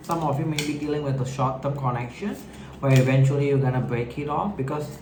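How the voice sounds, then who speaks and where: Through noticeable background noise and audible room echo, a man speaks at a fairly quick pace with a fairly high pitch. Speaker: tarot reader. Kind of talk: tarot reading to camera. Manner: hesitant, halting; filler-heavy, informal.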